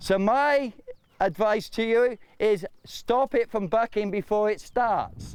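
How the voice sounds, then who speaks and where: A man with a British accent talks at a very slow pace in a high voice, with ordinary pitch variation and very even loudness. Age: 60s. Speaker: horse trainer. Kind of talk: tutorial.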